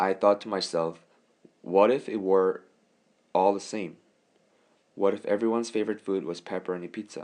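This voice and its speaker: A man's very deep, low voice with a Korean accent over a quiet background. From South Korea. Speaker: college student. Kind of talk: scripted narration.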